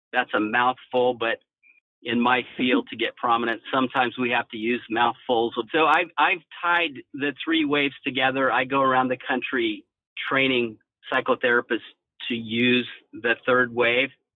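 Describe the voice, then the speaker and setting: A man with a medium-pitched voice speaks at a moderate pace. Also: fairly even intonation. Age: 60s. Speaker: psychologist. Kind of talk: interview. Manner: halting.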